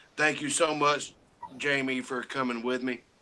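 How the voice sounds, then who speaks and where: Flat, monotone intonation marks this man's medium-pitched voice over noticeable background noise. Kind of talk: casual chat. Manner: halting.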